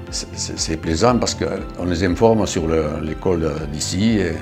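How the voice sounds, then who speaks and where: A man's very deep, low voice with lively intonation, music in the background. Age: 80s+. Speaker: retired amateur cyclist. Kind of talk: interview answer.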